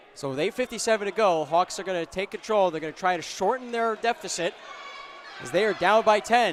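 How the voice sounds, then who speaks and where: Noticeable background noise accompanies a man with a high pitch. He talks at a fairly quick pace with lively intonation. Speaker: play-by-play sports commentator. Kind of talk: live commentary. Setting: courtside broadcast with headset. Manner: loud; fast.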